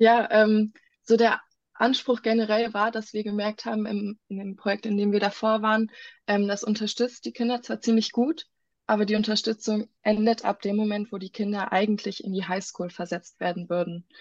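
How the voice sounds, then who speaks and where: The voice is somewhat breathy and moves at a moderate pace with fairly even intonation, recorded with a dry, close sound, no echo and a quiet background. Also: woman, fairly high pitch for a woman. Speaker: medical student running a charity for children in Ghana. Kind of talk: casual interview.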